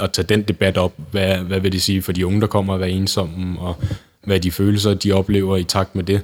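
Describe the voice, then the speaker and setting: A man's very deep, low voice in a monotone, flat intonation at a moderate pace. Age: 20s. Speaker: youth volunteer organisation chair. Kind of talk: interview.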